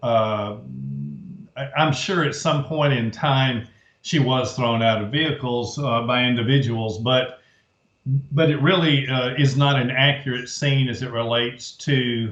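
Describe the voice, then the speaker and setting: A man talks in a plain, everyday voice. His pace is fairly slow. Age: 60s. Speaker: author and researcher. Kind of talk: interview.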